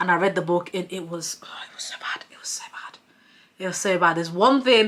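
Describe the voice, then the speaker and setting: This voice talks at a fairly quick pace with ordinary pitch variation. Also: woman. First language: not English. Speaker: book reviewer. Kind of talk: casual monologue.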